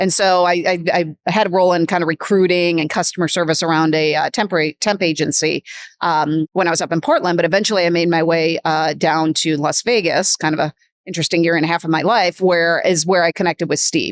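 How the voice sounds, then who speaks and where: A woman with a Midwestern accent, fairly low-pitched, fairly even in intonation and very even in loudness, talking at a very fast pace, in a very clean, silent recording with a dry, close sound and no echo. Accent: Midwestern, noticeable vowels. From US Midwest. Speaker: business executive. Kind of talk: podcast interview.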